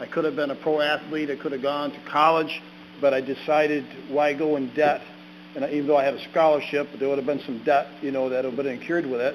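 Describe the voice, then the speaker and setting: At a very fast pace, a man with an American accent speaks in a fairly high, monotone, flat voice over noticeable background noise. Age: 60s. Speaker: ordained minister, recovering addict giving testimony. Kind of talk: testimony at a public meeting. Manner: halting, with fillers and repeats.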